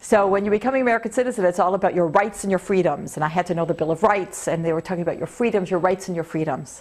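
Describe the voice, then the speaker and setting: With a Canadian accent, a woman talks in an animated tone at a medium pitch with ordinary pitch variation. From Canada, Toronto. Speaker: video blogger. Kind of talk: personal vlog monologue.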